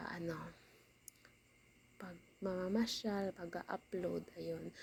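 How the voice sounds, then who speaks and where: The speaker is soft-spoken and talks at a fairly slow pace. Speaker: vlogger. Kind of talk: casual vlog voiceover. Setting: at home.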